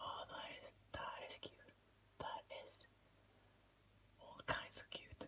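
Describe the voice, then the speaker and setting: Whispered words come very slowly, broken by long, frequent pauses. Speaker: gaming YouTuber. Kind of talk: casual vlog talk to camera. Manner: quiet, soft-spoken. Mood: delighted, amused. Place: home room. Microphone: phone near.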